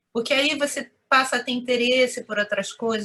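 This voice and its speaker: A woman speaks with a Rio de Janeiro accent. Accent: Carioca Brazilian Portuguese. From Rio de Janeiro, Madureira suburb. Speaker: Japanese consulate employee. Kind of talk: interview answer.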